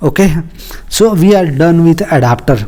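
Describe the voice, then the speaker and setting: Fairly slow, fairly high-pitched speech from a man, with ordinary pitch variation. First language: not English. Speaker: programming tutor. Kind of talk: coding tutorial. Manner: halting, many filler words.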